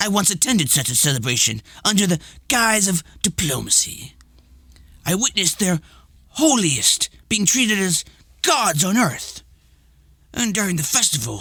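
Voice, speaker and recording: Doing a put-on character voice, a man speaks at a moderate pace in a high pitch, with very wide pitch swings, very even loudness and long, frequent pauses. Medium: read story. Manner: imperious, condescending.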